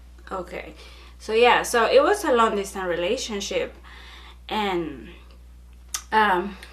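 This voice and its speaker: In a room with audible echo, a woman talks fairly slowly, leaving long, frequent pauses. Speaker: YouTuber. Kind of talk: casual chat. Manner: loud; animated.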